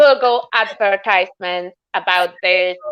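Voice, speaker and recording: A woman speaks with a Polish accent. Her tone is bright and sharp. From Poland. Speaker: sculptor. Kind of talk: casual chat.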